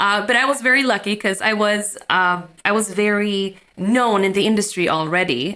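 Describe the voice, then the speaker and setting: Bright and sharp in tone, this woman's voice has a Swedish accent. Her pitch is medium. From Sweden. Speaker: magician. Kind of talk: interview.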